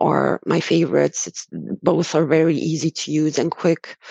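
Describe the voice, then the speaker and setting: A woman talks with a very deep, low pitch and a dark, mellow tone. Vocal fry runs through her voice. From Romania. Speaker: sourcing specialist guest. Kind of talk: casual conversational interview.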